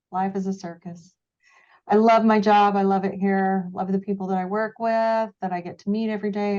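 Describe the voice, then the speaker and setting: A woman with an American accent speaks at a moderate pace and medium pitch, in a dark, mellow tone with monotone, flat intonation. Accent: occasional Texas twang. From Texas. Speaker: brokerage staff. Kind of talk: casual chat. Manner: low-energy.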